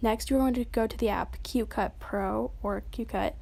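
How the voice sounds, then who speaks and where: The recording is very clean and the background silent. A woman does the talking. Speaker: tutorial youtuber. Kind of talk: tutorial. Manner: fast; casual.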